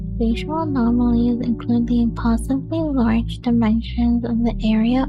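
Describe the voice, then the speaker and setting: Soft-spoken, a woman talks over music in the background, with audible room echo. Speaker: narrator. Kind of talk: reading aloud.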